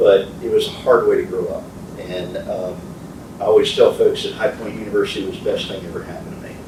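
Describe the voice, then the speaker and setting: A man with an American accent at a very fast pace, with noticeable background noise and audible room echo. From military childhood, Philippines and US moves. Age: 60s. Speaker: community leader and soccer coach. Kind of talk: motivational talk. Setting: speaking to a men's group.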